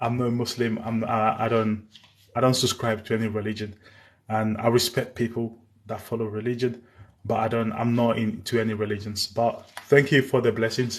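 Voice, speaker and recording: Against a quiet background, a man speaks at medium pitch and a moderate pace with monotone, flat intonation. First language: Spanish. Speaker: live streamer on war news. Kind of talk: live stream chat. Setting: live stream.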